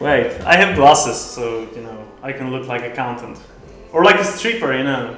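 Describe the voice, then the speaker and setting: There is noticeable background noise as a man with a non-native accent speaks with big swings in loudness. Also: medium pitch for a man, lively intonation, moderate pace. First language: not English. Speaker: poker streamer and coach. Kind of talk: live stream commentary while playing poker. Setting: live stream. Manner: casual, halting.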